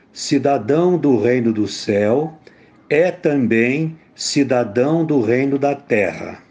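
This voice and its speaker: A man with a fairly high pitch and lively intonation speaks at a very slow pace. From interior of São Paulo state, Brazil. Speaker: theologian and teacher, former student activist. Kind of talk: personal testimony. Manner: formal.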